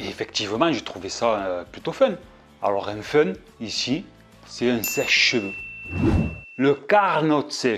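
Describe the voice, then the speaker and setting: A man at medium pitch and a very slow pace, with very wide pitch swings, big swings in loudness and long, frequent pauses, over music in the background. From southern France. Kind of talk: casual talk to camera.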